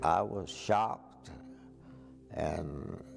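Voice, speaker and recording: A man with an American accent and lively intonation, with music in the background. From West Texas. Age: 80s+. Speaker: county judge. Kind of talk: interview answer.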